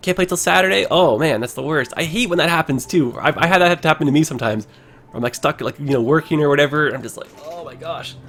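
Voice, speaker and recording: A man's fairly high voice races at a very fast pace with lively intonation, while noticeable background noise sounds behind it. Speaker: streamer. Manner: casual, hesitant when put on the spot.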